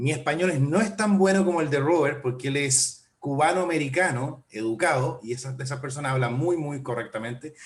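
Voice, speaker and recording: A man with an unremarkable speaking voice talks at a fairly quick pace, his pitch fairly high with ordinary pitch variation. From Chile. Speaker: port official. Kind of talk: webinar presentation.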